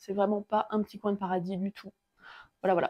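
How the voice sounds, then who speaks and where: Speaking very fast in a monotone, flat delivery, a woman with a medium pitch and a dark, mellow tone is heard in a dry, close recording with no echo. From France, Alsatian Vosges. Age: 30s. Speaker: carpenter. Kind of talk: casual walkthrough tour. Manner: relaxed, hesitant with fillers.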